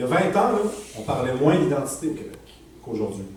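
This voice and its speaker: Through audible room echo and noticeable background noise, a man speaks at a fairly high pitch with very wide pitch swings. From Quebec, Montreal. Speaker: historian and co-author. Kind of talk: discussion at book launch. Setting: bookstore event with audience.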